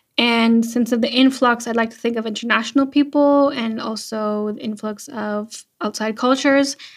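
A woman with a Canadian accent, a normal speaking voice, fairly high in pitch, with fairly even intonation. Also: moderate pace, hardly any pauses. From Canada, Vancouver Island, British Columbia. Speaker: content creator. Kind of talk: casual interview.

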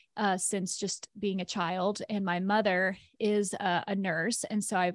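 The sound is dry and close with no echo, and the recording is very clean against a silent background. The speaker has an American accent and a monotone, flat intonation. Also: woman. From US South, rural Tennessee near Chattanooga. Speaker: life coach and personal trainer. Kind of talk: casual interview conversation.

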